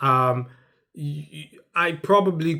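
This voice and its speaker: A man is talking. His pitch variation is ordinary. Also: very clean recording, silent background. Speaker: family vlogger. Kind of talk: direct-to-camera monologue. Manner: loud; halting.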